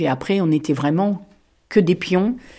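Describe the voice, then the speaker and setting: A woman speaks with a fairly low pitch and a dark, mellow tone. Her pace is moderate and her pitch variation ordinary. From France, Touraine. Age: 60s. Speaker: former mushroom picker. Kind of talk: interview testimony. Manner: hesitant, frequent filler sounds.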